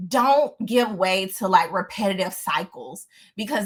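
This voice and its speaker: With a Southern US accent, the voice sounds somewhat breathy and has an animated tone. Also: woman. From US South. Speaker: lifestyle vlogger. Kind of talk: casual storytelling monologue. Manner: stutters at times.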